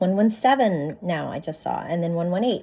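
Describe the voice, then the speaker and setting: A woman's medium-pitched voice carries lively intonation, with noticeable noise behind it. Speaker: spiritual card reader. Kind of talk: oracle card reading. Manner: animated.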